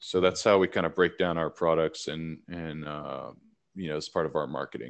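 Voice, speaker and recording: Someone with a Southern US accent talks at a moderate pace against a quiet background. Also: man. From Tennessee, Nashville. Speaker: hemp and cannabis business co-founder. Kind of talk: casual interview. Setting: remote call.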